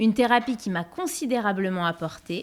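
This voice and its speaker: A woman's medium-pitched, ordinary speaking voice with lively intonation at a moderate pace. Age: 40s. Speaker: podcast host. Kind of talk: scripted narration; interview.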